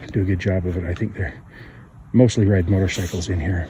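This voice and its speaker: A man at a fairly low pitch and moderate pace, amid noticeable background noise. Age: 50s. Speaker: bushcraft vlogger. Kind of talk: outdoor tutorial. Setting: outdoors on a trail. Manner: halting, with fillers.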